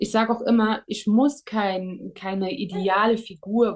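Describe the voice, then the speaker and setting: This woman talks at a very slow pace with a medium pitch. Her intonation stays fairly even. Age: 30s. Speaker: psychiatric nurse. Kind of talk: interview. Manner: hesitant with fillers.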